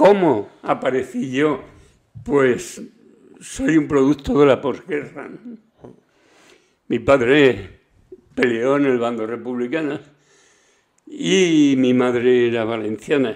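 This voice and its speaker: A man at a very slow pace, medium-pitched, with ordinary pitch variation and long, frequent pauses. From Spain, Extremadura and Valencia. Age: 70s. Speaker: podcast guest, grandfather. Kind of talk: casual chat.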